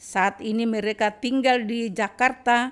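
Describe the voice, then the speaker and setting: A woman's high voice at a fairly slow pace, with fairly even intonation against a quiet background. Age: 80s+. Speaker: rice distributor, widow; podcast guest. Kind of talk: testimony. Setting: her home. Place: home room. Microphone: studio mic.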